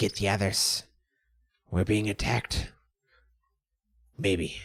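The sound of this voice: In a put-on character voice, a man speaks raspy and fairly low-pitched at a fairly slow pace.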